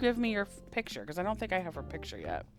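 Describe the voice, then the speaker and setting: A woman with an American accent speaks in an animated tone as music plays in the background. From Appalachia. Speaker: pastor and game streamer. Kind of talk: casual livestream chat while gaming. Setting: live stream. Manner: animated, chatty.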